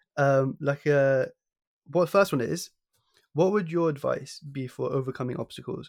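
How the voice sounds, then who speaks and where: With a southern English accent, a man speaks at a moderate pace and fairly high pitch, using ordinary pitch variation. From High Wycombe, southern England. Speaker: podcast host. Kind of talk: interview.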